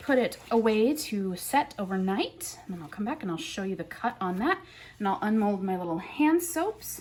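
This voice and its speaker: The speaker's pitch swings very widely at a moderate pace, with noticeable background noise. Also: woman. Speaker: soap maker. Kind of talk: tutorial. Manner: animated.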